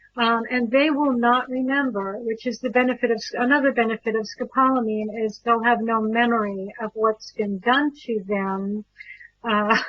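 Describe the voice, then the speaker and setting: With fairly even intonation, a woman of fairly high pitch speaks at a moderate pace. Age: 50s. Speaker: birth educator and talk show host. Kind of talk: talk show monologue. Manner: hesitant, many fillers.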